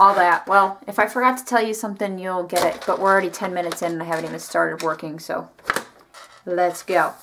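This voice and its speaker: With ordinary pitch variation and a medium pitch, this woman talks while noticeable background noise sits behind her. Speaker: craft youtuber. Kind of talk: tutorial. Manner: casual, chatty.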